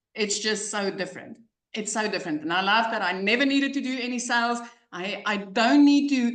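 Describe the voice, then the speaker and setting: A woman speaks at a fairly quick pace and fairly high pitch with ordinary pitch variation. Audible room echo can be heard. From South Africa. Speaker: online business coach, success story. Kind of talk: testimony. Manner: animated.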